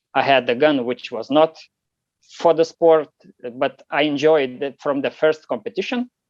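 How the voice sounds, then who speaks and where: With a Lithuanian accent, a man talks at a moderate pace in a fairly high pitch with ordinary pitch variation, and the sound is dry and close with no echo. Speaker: competition shooter. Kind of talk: interview. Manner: halting, many fillers.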